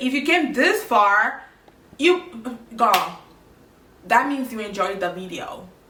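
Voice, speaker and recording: Audible room echo carries a woman's animated tone as she talks at a fairly slow pace. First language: French. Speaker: makeup tutorial creator. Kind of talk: tutorial.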